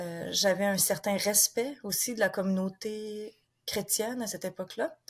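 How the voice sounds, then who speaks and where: A woman speaks at a fairly slow pace with a Quebec accent, her medium-pitched voice somewhat breathy and her pitch varying in an ordinary way. The recording is very clean, with a silent background. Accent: Québécois French. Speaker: author and former missionary. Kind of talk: interview. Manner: hesitant, many fillers.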